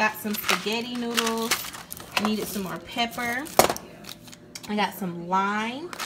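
A woman talks slowly in a fairly bright tone at a medium pitch, with ordinary pitch variation and faint background noise.

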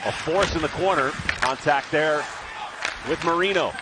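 A man speaks in a high pitch with ordinary pitch variation. Noticeable background noise is present. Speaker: hockey play-by-play announcer. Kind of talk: live sports commentary, play-by-play. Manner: fast, rhythmic, clipped play-by-play delivery.

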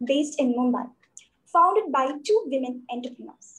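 This woman speaks at a moderate pace with a high pitch and lively intonation. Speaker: student host. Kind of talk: formal introduction. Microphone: video call.

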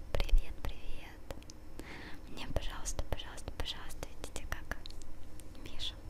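A woman speaks with long, frequent pauses. Loud background noise runs behind her. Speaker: video blogger. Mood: relaxed, a bit flustered. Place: home room. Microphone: handheld.

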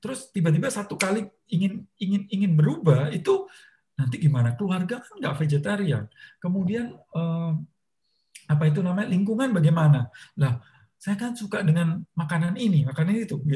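A man's high-pitched voice, dark and mellow in tone, with lively intonation, big swings in loudness and a fairly quick pace. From Indonesia. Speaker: motivator and author; talk show guest. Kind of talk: talk show interview. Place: home room. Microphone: video call.

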